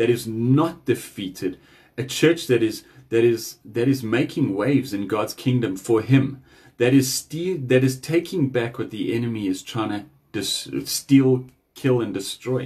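A man talks at a fairly slow pace with ordinary pitch variation. His voice is somewhat breathy, over a quiet background. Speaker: speaker. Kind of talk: devotional message. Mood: earnest, urging. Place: home room. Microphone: phone near.

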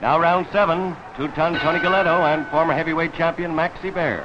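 A man with a high voice talks fairly quickly, noticeable background noise behind him. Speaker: 1940 radio fight announcer. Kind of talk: 1940 radio boxing commentary, round-by-round live narration. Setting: ringside at stadium. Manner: brisk, clipped, punchy; excited, dramatic.

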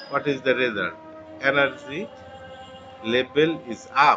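A man speaks at a very slow pace while music plays in the background. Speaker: presenter. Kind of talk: tutorial. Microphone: webcam.

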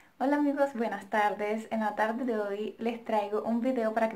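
Fairly high pitch, ordinary pitch variation and a moderate pace in a woman's voice. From Colombia. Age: 20s. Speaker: vlogger. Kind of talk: casual Q&A vlog. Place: home room. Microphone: phone near.

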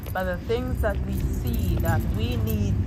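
Loud noise fills the background. The speech moves at a fairly slow pace. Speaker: prayer leader / church member and social media creator. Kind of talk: fervent spoken prayer, live-streamed to followers. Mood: fervent, devotional. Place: street. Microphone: phone near.

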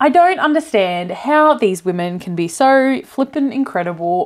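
A woman at a moderate pace, her pitch swinging very widely, against a quiet background. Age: 30s. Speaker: cross-stitch YouTuber. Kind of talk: unboxing video. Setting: home recording with a new mic. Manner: animated. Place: home room. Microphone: lapel.

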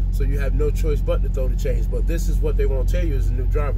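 The speech comes at a very fast pace. Loud background noise sits behind it. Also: man. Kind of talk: casual vlog chat. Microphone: headset.

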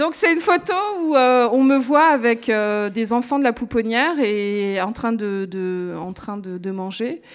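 Against a quiet background, a woman speaks at a fairly slow pace. Her fairly high pitch carries lively intonation. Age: 30s. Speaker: radio reporter and documentary maker; radio reporter. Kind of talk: testimony. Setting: stage with audience. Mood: emotional, reflective. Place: stage. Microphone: handheld.

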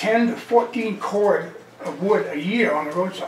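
Light background noise sits under the voice, and room echo is audible. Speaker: resident raising road budget concerns. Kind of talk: public meeting discussion. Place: meeting room. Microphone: camera far.

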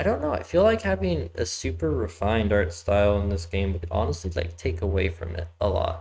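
Somewhat breathy and monotone, a man talks at a moderate pace. Light background noise sits behind him. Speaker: game streamer. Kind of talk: casual gameplay commentary. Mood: relaxed, mildly amused. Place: home room. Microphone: headset.

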